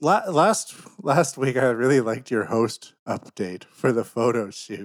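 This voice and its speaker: Speaking at a fairly slow pace with a Canadian accent, a man uses a normal speaking voice at a medium pitch with lively intonation. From Canada. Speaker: podcast host. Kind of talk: casual banter podcast. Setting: studio.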